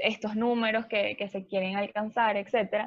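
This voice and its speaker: A woman's voice with fairly even intonation. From Venezuela. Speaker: travel agency owner. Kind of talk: interview.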